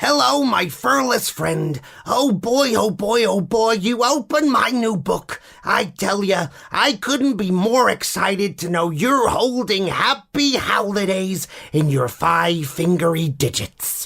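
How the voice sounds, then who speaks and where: A man speaks in a put-on character voice pitched high. His delivery is fairly slow. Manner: excited, enthusiastic.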